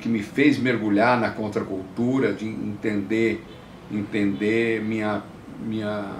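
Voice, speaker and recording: Speaking at a very slow pace with fairly even intonation, a man is heard with audible room echo. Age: 70s. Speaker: counterculture activist and producer. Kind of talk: interview testimony. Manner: halting with frequent repetitions.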